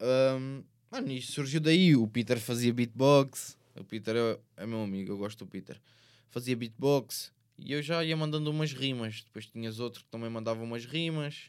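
Here a man uses an ordinary speaking voice at medium pitch, with ordinary pitch variation and a moderate pace. His loudness swings a lot. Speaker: rapper. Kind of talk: casual chat.

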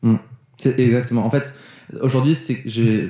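Speaking at a medium pitch, a man sounds somewhat breathy. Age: 20s. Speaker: mindset coach and speaker. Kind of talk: casual interview chat.

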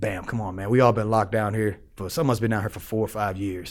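A man does a raspy, put-on character voice, pitched fairly low and delivered at a very fast pace. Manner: coaxing.

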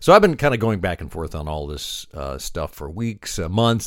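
Heard in a very clean recording with a silent background, a man with a medium pitch and a plain, everyday voice speaks at a fairly quick pace. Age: 60s. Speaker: trade show marketing podcaster and blogger. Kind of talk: solo video podcast monologue. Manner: casual, with frequent filler uhs.

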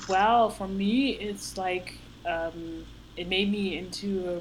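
A woman talks at a very slow pace in a medium pitch. Her voice is somewhat breathy, with a Dutch accent. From Netherlands. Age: 30s. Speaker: powerlifter. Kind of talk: casual chat. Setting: video call. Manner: halting.

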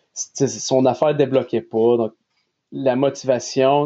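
This man has a normal speaking voice, a fairly high pitch and a fairly slow pace. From Nova Scotia, Canada (Quebecois parents). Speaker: athletic therapist. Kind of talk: casual interview.

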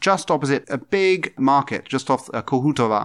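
A man with a southern English accent at a fairly quick pace. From southeast England. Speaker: diplomat. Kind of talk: interview. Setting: embassy office. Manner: halting.

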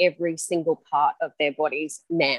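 With an Australian accent, a woman speaks at a fairly slow pace with fairly even intonation. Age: 40s. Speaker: high school health and PE teacher. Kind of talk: casual chat.

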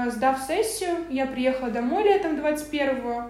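A woman with a high-pitched voice talks over noticeable background noise, with audible echo from the room. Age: 20s. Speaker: entrepreneur. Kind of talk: interview.

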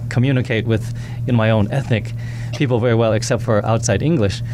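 Music plays in the background. A man speaks at a fairly quick pace with medium pitch. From United States, Taiwanese parents. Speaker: music instructor. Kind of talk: radio interview. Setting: studio.

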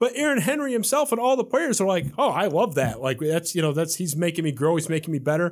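Over a very clean recording with a silent background, a man with an American accent speaks very fast at a high pitch, with very wide pitch swings. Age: 30s. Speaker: podcast host. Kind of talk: casual chat. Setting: studio.

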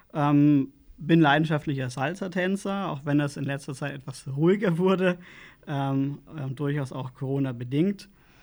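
A man with a normal speaking voice talks at a fairly slow pace, his pitch fairly high and his intonation fairly even. Loudness swings widely across a very clean recording with a silent background. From Lower Franconia, Bavaria (Schweinfurt). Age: 30s. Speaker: local political candidate. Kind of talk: interview.

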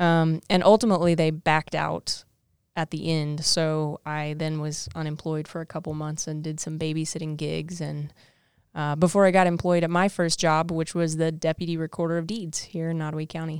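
On a very clean recording with a silent background, a woman with a Midwestern US accent talks at a moderate pace in a very deep, low pitch and a monotone, flat intonation. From southwest Missouri, US. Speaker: assistant director of career services, co-host. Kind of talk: casual interview chat.

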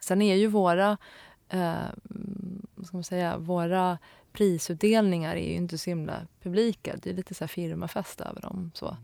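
A woman's dark, mellow voice at a fairly low pitch and moderate pace, on a very clean recording with a silent background. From Stockholm area, Sweden. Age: 30s. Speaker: graphic designer. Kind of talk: interview. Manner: hesitant, many fillers.

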